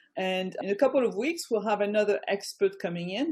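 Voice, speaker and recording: A woman with a French accent talks in a dark, mellow tone with ordinary pitch variation against a quiet background. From France. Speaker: business coach. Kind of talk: online presentation. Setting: video call.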